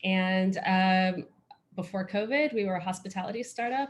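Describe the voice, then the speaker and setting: A woman with an American accent speaks at a moderate pace in a medium-pitched, somewhat breathy voice. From United States. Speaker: former lawyer, startup executive, panelist. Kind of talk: panel self-introduction.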